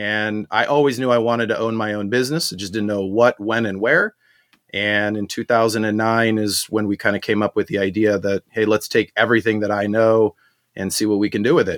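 A man speaks fairly quickly in a plain, everyday voice with fairly low pitch. The intonation is fairly even, and the sound is dry and close with no echo. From Southern California (born in South Africa, moved 1980). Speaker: marketing and branding entrepreneur. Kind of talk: interview.

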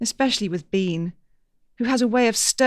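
Text in plain reading aloud

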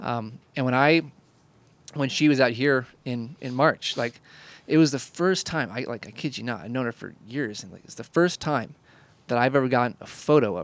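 A normal speaking voice from a man with an American accent, moderate pace, ordinary pitch variation, and big swings in loudness. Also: medium pitch for a man. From Indiana, US Midwest. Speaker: podcast host, photographer. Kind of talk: casual chat.

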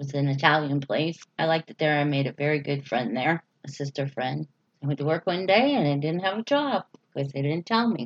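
A woman's very deep, low voice with ordinary pitch variation, at a fairly quick pace. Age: 50s. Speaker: waitress. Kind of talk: interview.

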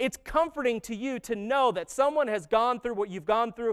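In a very clean recording with a silent background, a man with an extremely high voice sounds animated at a fairly quick pace, his pitch varying in an ordinary way. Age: 30s. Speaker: pastor. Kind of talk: sermon. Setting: church with congregation.

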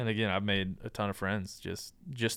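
A man speaks in an ordinary speaking voice at a fairly quick pace. His pitch is fairly low and his intonation fairly even. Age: 30s. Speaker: hunting podcast host and nonprofit founder. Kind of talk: casual interview.

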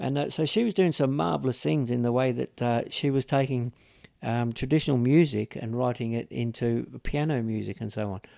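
A man with an Australian accent at medium pitch, with ordinary pitch variation and a fairly quick pace, in a dry, close sound with no echo. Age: 60s. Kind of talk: interview storytelling. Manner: halting, many fillers.

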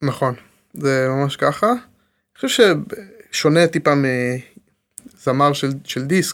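This man talks very slowly, his fairly high pitch rising and falling by an ordinary amount. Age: 30s. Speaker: tech entrepreneur. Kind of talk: casual interview.

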